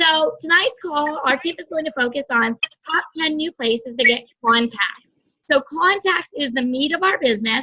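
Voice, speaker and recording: Music plays behind a woman who speaks in a raised, projected voice. Her pitch is high, with ordinary variation. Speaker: direct sales team leader. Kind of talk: team training call. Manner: fast.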